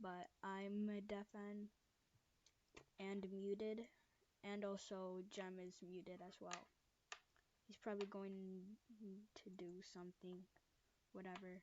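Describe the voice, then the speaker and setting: A woman speaks at a very slow pace with long, frequent pauses. Her pitch sits in the medium range. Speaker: gaming youtuber. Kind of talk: gameplay commentary. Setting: home recording while on a muted voice call. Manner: halting, stuttering; unscripted rambling.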